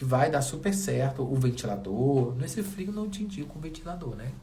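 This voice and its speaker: Over noticeable background noise and audible room echo, a man with a fairly high pitch talks at a moderate pace, his tone animated and his intonation lively. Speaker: wall painting DIY youtuber. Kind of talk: tutorial. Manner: speaking softly briefly.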